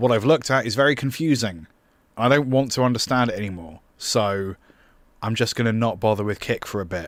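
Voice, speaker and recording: Over a silent background on a very clean recording, a man talks at a fairly quick pace at medium pitch with ordinary pitch variation. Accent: British. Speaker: music producer and streamer. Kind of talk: livestream tutorial. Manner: loud.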